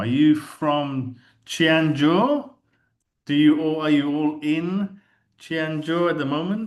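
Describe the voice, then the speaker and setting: A man with a London accent, fairly high pitch and ordinary pitch variation, at a very slow pace. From England, London. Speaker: keynote speaker. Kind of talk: conference keynote talk. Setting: video call.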